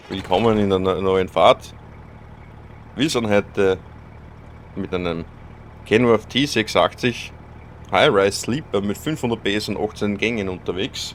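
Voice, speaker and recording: Fairly slow and fairly low, a man speaks with ordinary pitch variation and long, frequent pauses. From Austria. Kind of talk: casual gaming commentary. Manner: relaxed, occasionally grumpy.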